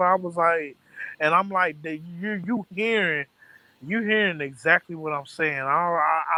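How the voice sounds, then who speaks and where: A man with an American accent speaks fairly slowly in a bright, sharp tone, with a high pitch and ordinary pitch variation. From American South. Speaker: storyteller recounting an argument.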